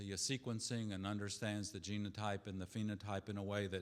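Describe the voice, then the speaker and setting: A very clean recording with a silent background, in a Southern US accent. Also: man. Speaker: pediatrics department chairman. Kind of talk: welcome speech.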